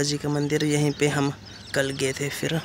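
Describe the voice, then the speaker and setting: Over light background noise, a man talks at a fairly slow pace with monotone, flat intonation, the sound dry with no echo. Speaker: travel vlogger. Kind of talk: casual vlog chat. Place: street. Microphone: phone near.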